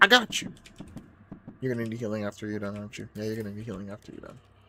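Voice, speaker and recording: An animated male voice with an American accent. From US, Peruvian family. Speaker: gaming streamer. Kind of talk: live gameplay commentary.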